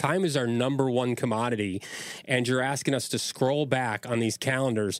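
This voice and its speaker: A plain, everyday voice, its pace moderate and its pitch variation ordinary. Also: man. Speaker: podcast host. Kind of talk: casual podcast banter.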